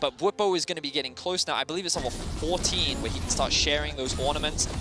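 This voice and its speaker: A fairly high-pitched male voice at a fairly quick pace, with ordinary pitch variation and music in the background. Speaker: esports commentator. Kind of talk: live commentary. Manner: fast; animated.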